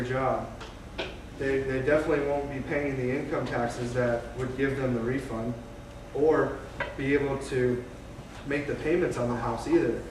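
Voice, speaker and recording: Over noticeable background noise, a man talks at a moderate pace in a fairly high, monotone voice with flat intonation and long, frequent pauses. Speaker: mortgage loan officer. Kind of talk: informal presentation to a live audience. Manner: hesitant, many fillers.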